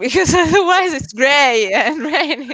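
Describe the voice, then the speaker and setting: Over noticeable background noise, a woman with a strong Italian accent talks at a moderate pace, her pitch swinging very widely. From Italy. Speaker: SEO specialist, agency founder. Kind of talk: interview on a live stream. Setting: live video stream.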